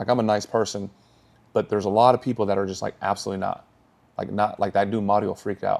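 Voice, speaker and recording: Talking at a very fast pace, a man keeps to a fairly low pitch. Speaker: sales coach and entrepreneur. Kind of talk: casual business coaching chat. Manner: loud; animated.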